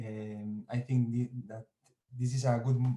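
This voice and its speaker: A man speaks in a monotone with flat intonation. His tone is dark and mellow. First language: Spanish or Basque. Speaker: digital culture lab coordinator. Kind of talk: online conference talk. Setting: video call from home. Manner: halting.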